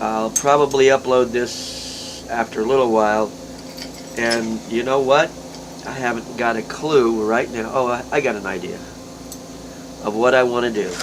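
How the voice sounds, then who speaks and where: Noticeable background noise sits under a man who speaks with long, frequent pauses. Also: medium pitch for a man, fairly even intonation, moderate pace. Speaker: glass artist. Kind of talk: tutorial. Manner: casual.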